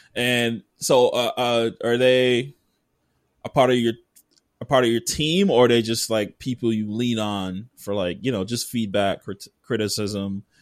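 A man's medium-pitched voice with ordinary pitch variation, an ordinary speaking voice. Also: fairly slow pace. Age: 30s. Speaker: podcast host. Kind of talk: casual chat.

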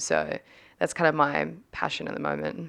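With an Australian accent, a woman speaks. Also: quiet background. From Australia, Sydney northern beaches. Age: 20s. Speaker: former sprinter, trainer and podcaster. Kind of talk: casual interview chat.

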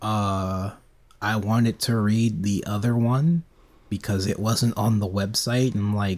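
Over a silent background in a very clean recording, a man with an ordinary speaking voice talks at a fairly slow pace, his pitch fairly low with ordinary variation. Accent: American. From United States. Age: 20s. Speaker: podcast co-host. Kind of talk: casual chat.

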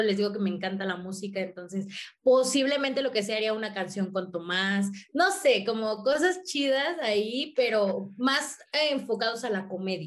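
A woman's fairly high voice, a plain, everyday voice, at a moderate pace with lively intonation. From Mexico, working-class neighbourhood. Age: 20s. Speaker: content creator and comedian. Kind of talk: casual interview chat.

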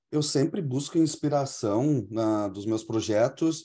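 Against a quiet background, a man talks at a fairly slow pace in a dark, mellow tone with ordinary pitch variation. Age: 40s. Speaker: English teacher. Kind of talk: interview.

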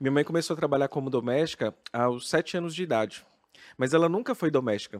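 An ordinary speaking voice moves at a fairly quick pace with lively intonation, dry and close with no echo, on a very clean recording with a silent background. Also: man. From Brazil, interior of Minas Gerais. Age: 30s. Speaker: drag queen and health sciences professor. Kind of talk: casual interview chat.

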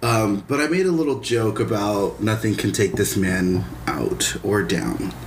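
A man with a fairly low voice talks at a fairly slow pace with lively intonation and very even loudness, with audible room echo and noticeable background noise. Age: 30s. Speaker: podcast co-host. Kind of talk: casual chat.

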